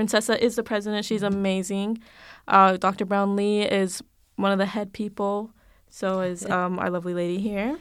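A woman with a normal speaking voice at medium pitch, moderate pace and fairly even intonation, on a very clean recording with a silent background. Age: 20s. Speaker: college education student. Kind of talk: casual interview chat. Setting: studio sound booth.

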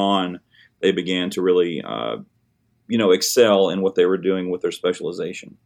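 At a moderate pace, a man talks with a Tennessee accent. His pitch is fairly low. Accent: US Southern (Tennessee). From Middle Tennessee, Hickman County. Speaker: high school band director. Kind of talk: interview.

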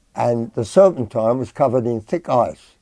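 The man's voice has a dark, mellow tone at a medium pitch. He talks at a fairly slow pace. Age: 80s+. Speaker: interviewee sharing childhood memories. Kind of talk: oral history interview.

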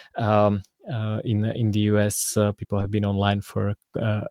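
In a Slovak accent, a man speaks slowly-ish at a fairly low pitch with monotone, flat intonation, on a very clean recording with a silent background and a dry, close sound with no echo. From Slovakia. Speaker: privacy and crypto guest. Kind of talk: casual interview. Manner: halting, many fillers.

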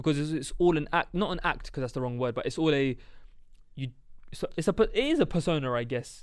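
A man with a London accent talks at a fairly quick pace, his fairly high pitch showing ordinary variation. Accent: London multicultural English. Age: 20s. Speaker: podcast co-host. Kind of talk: casual chat.

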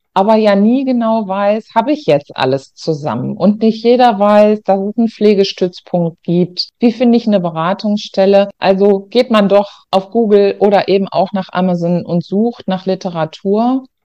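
A woman talks in a dark, mellow tone with ordinary pitch variation and hardly any pauses. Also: medium pitch for a woman, moderate pace. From Germany, Ruhr area (North Rhine-Westphalia). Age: 50s. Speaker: nursing home manager and author. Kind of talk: interview.

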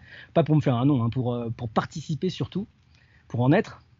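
At a fairly quick pace, a man talks with lively intonation in a somewhat breathy voice pitched fairly high. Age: 40s. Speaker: itinerant wedding photographer and wood carver. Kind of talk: interview. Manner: halting, many repetitions and fillers. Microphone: connection sometimes poor.

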